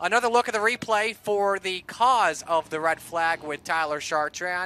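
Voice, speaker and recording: A man talks in a raised, projected voice with a bright, sharp tone at a fairly slow pace. The recording is very clean, with a silent background. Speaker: race announcer / play-by-play. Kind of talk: live racing play-by-play. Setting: trackside at a race, PA system.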